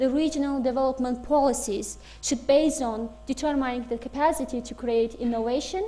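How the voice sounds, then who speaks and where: The voice moves at a fairly quick pace with ordinary pitch variation. Audible room echo surrounds it. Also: woman. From Azerbaijan. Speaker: guest lecturer. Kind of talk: lecture. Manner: halting, many fillers.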